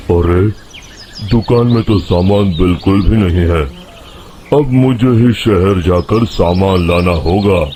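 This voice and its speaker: A gruff, rumbling put-on character voice from a man, very deep and low in pitch, with ordinary pitch variation, very even loudness and a fairly slow pace over clear background noise. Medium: cartoon. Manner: grumbling, gruff.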